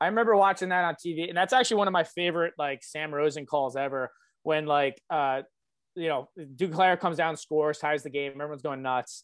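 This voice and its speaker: A man's unremarkable speaking voice, fairly high-pitched, with ordinary pitch variation and a fairly quick pace. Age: 20s. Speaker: hockey podcast co-host. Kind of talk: casual chat.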